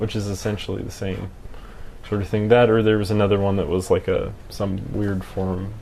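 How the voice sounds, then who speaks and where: In a room with audible echo, a man speaks at a moderate pace in a monotone, flat intonation. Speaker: camera hobbyist live streamer. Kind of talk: casual live stream chat. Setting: live stream. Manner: halting, slurred speech.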